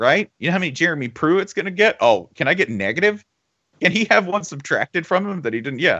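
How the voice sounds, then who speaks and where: Using lively intonation, a man with a high pitch talks at a very fast pace. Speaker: podcast host. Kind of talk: casual sports banter podcast. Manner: sarcastic, joking.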